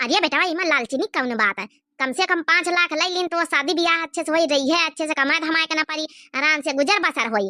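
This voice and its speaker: In a cartoonish character voice, a woman talks very fast at an extremely high, squeaky pitch. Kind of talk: comic cartoon acting.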